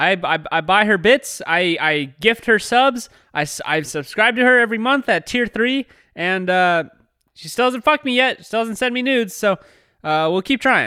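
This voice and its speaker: A man's high, bright, sharp voice, raised and projected, animated with lively intonation at a moderate pace, dry and close with no echo. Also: very clean recording, silent background. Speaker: podcast co-host. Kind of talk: casual comedic chat. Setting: studio, live streamed. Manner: loud; animated, does character voices.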